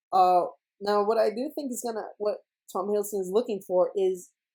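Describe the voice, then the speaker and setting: Dark, mellow tone with ordinary pitch variation. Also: woman. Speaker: YouTuber, movie trailer breakdown. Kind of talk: casual video commentary. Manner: stuttering, stumbling speech; rambling with many fillers.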